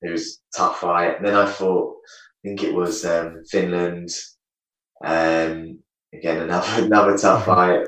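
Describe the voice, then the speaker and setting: A man with an English accent talks at a fairly slow pace, and room echo can be heard. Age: 30s. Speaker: retired taekwondo champion. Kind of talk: casual interview chat. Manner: halting.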